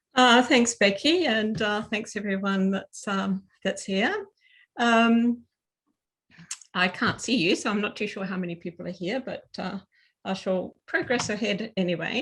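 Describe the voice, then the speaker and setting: A woman with an Australian accent speaks at a fairly slow pace. Her pitch variation is ordinary, and the background is quiet. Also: medium pitch for a woman. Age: 60s. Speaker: seminar speaker. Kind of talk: presentation. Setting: video call. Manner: halting, many fillers.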